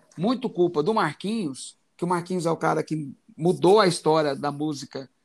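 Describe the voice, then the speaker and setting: Vocal fry runs through a man's fairly high voice as he talks at a moderate pace with ordinary pitch variation. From Goiás, Brazil. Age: 40s. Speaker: concert photographer and musician. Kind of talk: casual interview.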